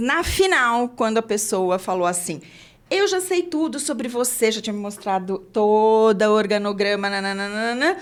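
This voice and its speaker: A woman with an unremarkable speaking voice, medium pitch and a fairly slow pace. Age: 60s. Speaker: podcast host, HR consultant. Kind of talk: interview podcast.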